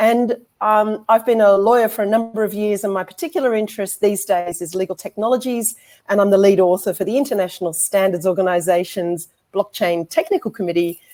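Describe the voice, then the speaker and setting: With an Australian accent, a woman speaks in a dark, mellow tone. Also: medium pitch for a woman, ordinary pitch variation, fairly quick pace. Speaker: law lecturer and barrister. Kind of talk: conference presentation.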